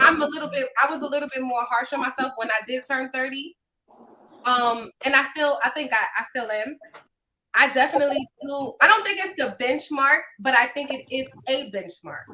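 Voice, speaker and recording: Her voice is raised and projected, with a bright, sharp tone and high pitch. The woman keeps a moderate pace and ordinary pitch variation. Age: 30s. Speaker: podcast co-host. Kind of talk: casual chat.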